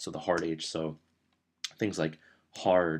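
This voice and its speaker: Here a man speaks with a very deep, low pitch. He keeps a moderate pace. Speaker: YouTuber teaching accents. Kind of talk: tutorial. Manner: monotone.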